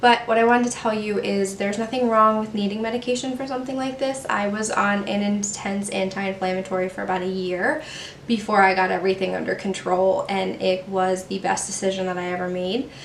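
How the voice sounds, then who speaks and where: A woman's medium-pitched voice at a fairly quick pace, with fairly even intonation, audible room echo and noticeable background noise. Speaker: beauty vlogger. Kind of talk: personal talk to camera. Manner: halting, stumbles over words.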